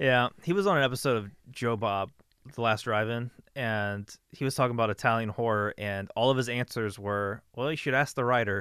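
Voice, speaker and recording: Here is a normal speaking voice with ordinary pitch variation. The background is quiet. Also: man, medium pitch for a man, fairly quick pace. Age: 30s. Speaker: podcast host. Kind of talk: casual chat.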